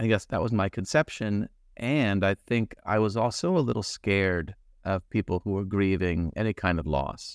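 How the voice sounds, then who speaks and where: A man in a General American accent talks at a moderate pace with a plain, everyday voice and fairly low pitch. His pitch variation is ordinary, and the sound is dry and close with no echo. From US. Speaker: grief speaker, bereaved father. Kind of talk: casual chat. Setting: video call.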